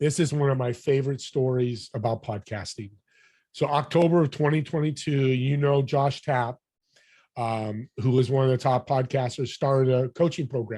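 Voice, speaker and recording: Against a quiet background, a man speaks at a moderate pace in a dark, mellow, somewhat breathy voice. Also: medium pitch for a man. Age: 60s. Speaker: podcast host and business networker. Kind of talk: interview conversation. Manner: animated.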